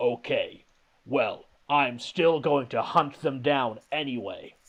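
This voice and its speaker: Putting on a character voice, a man speaks at a fairly slow pace in a fairly high, gravelly pitch. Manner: epic, dramatic, gravelly.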